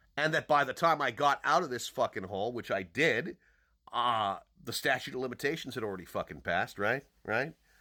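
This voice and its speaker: An animated, loud man talks at a fairly quick pace with lively intonation and a bright, sharp tone. The recording is very clean, with a silent background. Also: medium pitch for a man. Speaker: podcaster and online commentator. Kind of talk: angry personal monologue. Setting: social media video.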